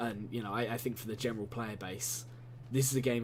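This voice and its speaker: Audible room echo surrounds this recording. A man speaks at a medium pitch in a somewhat breathy voice. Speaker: gaming video commentator. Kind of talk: gameplay commentary monologue. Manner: halting, many fillers and repetitions.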